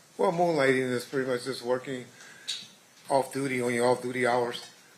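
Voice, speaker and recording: A man speaks at a medium pitch in an American accent with fairly even intonation. Noticeable background noise sits behind him. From Compton, California (US West Coast). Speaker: trial witness, retired police officer. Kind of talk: court testimony. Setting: courtroom. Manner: halting.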